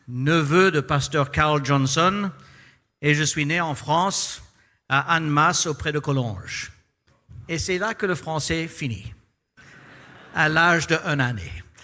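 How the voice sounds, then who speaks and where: A man with a non-native accent speaks very slowly at a fairly high pitch, with ordinary pitch variation and long, frequent pauses, on a very clean recording with a silent background. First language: English (speaking French). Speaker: pastor. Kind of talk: sermon. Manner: halting.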